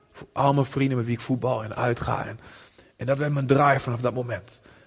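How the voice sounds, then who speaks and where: A man's monotone, flat delivery comes through noticeable background noise. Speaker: visiting preacher, missionary. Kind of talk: sermon. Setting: church with audience.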